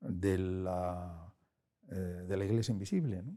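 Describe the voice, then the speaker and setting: A man's dark, mellow tone at a very slow pace, on a very clean recording with a silent background. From Spain. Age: 60s. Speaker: philosopher and editor. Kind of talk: interview. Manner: hesitant.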